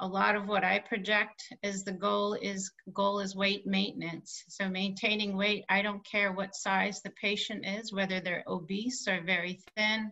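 The background is silent apart from the voice. Delivery is fairly slow. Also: woman. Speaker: presenter. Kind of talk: webinar presentation. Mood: warm, slightly laughing. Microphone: video call.

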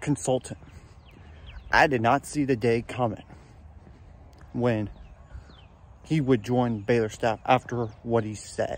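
A man speaks with fairly even intonation, and the sound is dry with no echo. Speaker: sports fan vlogger. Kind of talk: casual vlog chat. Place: garden. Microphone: phone near.

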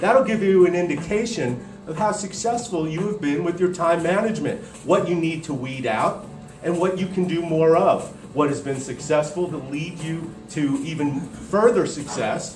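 High-pitched male voice with ordinary pitch variation, audible room echo and clear music in the background. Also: moderate pace. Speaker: speaker. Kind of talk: motivational talk. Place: hall.

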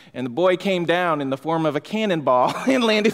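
Moderate-paced speech from a man. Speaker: pastor. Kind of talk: sermon. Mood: light-hearted, laughing anecdotes. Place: church. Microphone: podium.

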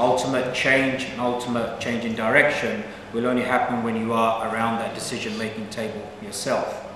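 Over light background noise and audible room echo, a man with a medium pitch talks at a fairly quick pace in a flat, monotone way. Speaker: politician, election candidate. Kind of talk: political speech. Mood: earnest, persuasive. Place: hall. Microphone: camera far.

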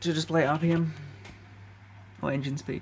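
Over light background noise, a man speaks with a fairly high pitch in a somewhat breathy voice. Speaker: electronics hobbyist. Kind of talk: casual hardware demo to camera. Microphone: phone near.

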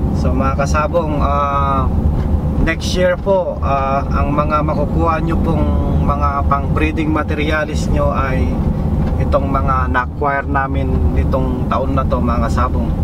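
The speech moves at a fairly slow pace, with a dry sound with no echo and loud background noise. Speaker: vlogger driving to a farm. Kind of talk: casual vlog chat. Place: car. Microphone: phone near.

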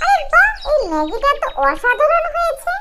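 A woman performs a put-on character voice at an extremely high pitch, bright and sharp in tone, with big pitch swings. She keeps a moderate pace over faint background noise.

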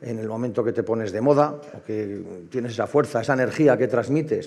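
Ordinary pitch variation from a man speaking at a moderate pace. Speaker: heritage association member; panelist. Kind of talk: conference panel talk. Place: hall. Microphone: headset.

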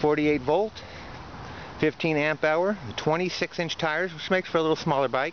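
With a high voice for a man and a fairly quick pace, this male speaker is heard over light background noise in a dry recording with no echo. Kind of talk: casual walkaround commentary. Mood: proud, friendly. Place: street. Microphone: phone near.

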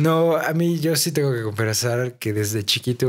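On a very clean recording with a silent background, a man speaks at a fairly slow pace with lively intonation and medium pitch. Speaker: podcast co-host. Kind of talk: casual chat.

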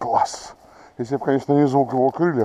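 A man's voice with lively intonation, a dry sound with no echo and light background noise. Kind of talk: casual commentary. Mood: pleased, excited. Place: forest. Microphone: phone near.

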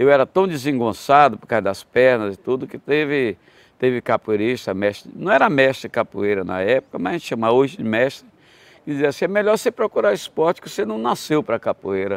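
Talking at a fairly quick pace, a man swings very widely in pitch and greatly in loudness, in a dry sound with no echo. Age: 80s+. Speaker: capoeira master; interviewee. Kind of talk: interview storytelling. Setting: at his country home. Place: garden. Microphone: lapel.

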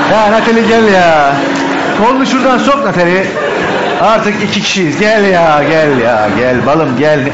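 A man's fairly slow speech with music in the background. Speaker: comedian performer. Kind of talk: comic stage improv. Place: stage. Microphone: headset.

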